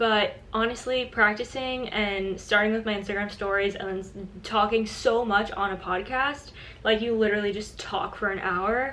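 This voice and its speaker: Speaking with an American accent, a woman keeps a moderate pace and fairly even intonation amid noticeable background noise and audible room echo. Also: fairly high pitch for a woman. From US, South Florida. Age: 20s. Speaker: influencer and podcast host. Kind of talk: casual vlog talk to camera. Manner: chatty, with fillers and self-corrections.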